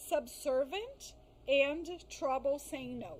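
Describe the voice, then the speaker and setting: With a non-native accent, a woman speaks very slowly in a high pitch, her intonation lively. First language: not English. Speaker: psychologist specializing in crisis and trauma. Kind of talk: podcast interview. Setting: live-streamed podcast. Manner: careful, halting on some words.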